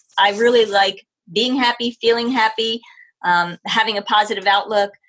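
Medium pitch from a woman with an American accent, bright and sharp in tone, at a moderate pace. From New Jersey, then Ohio. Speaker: dog trainer and pet care business owner. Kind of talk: casual interview. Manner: hesitant, many fillers.

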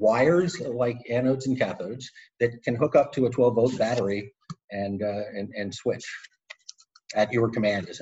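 At a moderate pace, a man of medium pitch speaks with ordinary pitch variation and long, frequent pauses. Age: 60s. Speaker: tech company co-founder. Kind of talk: interview. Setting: video call. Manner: halting, many repetitions and fillers.

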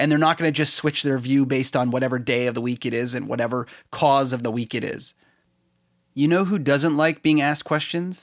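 On a very clean recording with a silent background, a man with a plain, everyday voice talks at a fairly quick pace, with a fairly high pitch and fairly even intonation. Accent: Canadian. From Canada. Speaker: podcast host. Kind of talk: solo podcast commentary.

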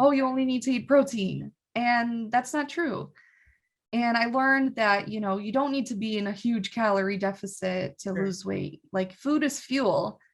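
A woman speaks at a moderate pace in a normal speaking voice, pitched fairly high with ordinary variation. The background is quiet. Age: 20s. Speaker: gym member. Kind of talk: casual chat.

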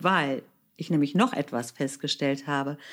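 A very slow pace in a very clean recording with a silent background. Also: woman. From Germany. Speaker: author and podcast host. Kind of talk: solo podcast monologue.

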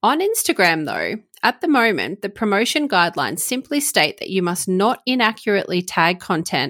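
With lively intonation, a woman talks at a moderate pace on a very clean recording with a silent background. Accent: Australian. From Australia. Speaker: commercial lawyer and podcast host. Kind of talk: informative solo podcast explainer.

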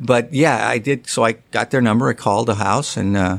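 Vocal fry runs through the speech of a man with an American accent. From US West Coast. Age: 60s. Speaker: golf writer. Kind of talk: casual interview.

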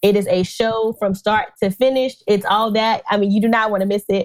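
At a fairly quick pace, a woman with a medium pitch talks in an animated tone, the sound dry and close with no echo. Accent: American. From North Carolina. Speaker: dentist. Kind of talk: interview.

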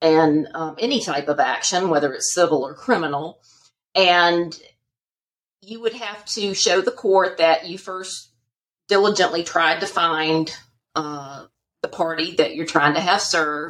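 A woman with a Southern US accent, at a fairly slow pace and with ordinary pitch variation. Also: fairly low pitch for a woman, big swings in loudness. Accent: Southern American. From US South, Charlotte, North Carolina. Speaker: divorce attorney. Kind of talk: interview, expert explanation.

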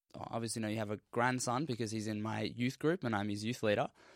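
Here is a man with an Australian accent. The recording is very clean and the background silent. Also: dry, close sound with no echo. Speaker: university science student. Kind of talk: casual discussion.

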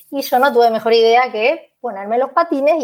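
An ordinary speaking voice at a moderate pace. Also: woman. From Buenos Aires, Argentina. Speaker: Spanish teacher. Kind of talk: casual interview.

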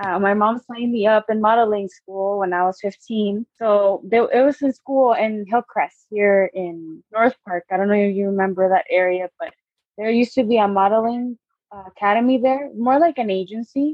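With a plain, everyday voice, a woman speaks at a fairly high pitch and ordinary pitch variation. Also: moderate pace. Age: 20s. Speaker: photographer and clothing designer. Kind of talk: interview.

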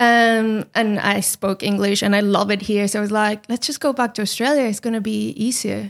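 Here a woman speaks with a Spanish accent at a moderate pace. Her intonation is fairly even, and she hardly pauses. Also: fairly high pitch for a woman. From Chile. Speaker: podcast team member. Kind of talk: casual interview.

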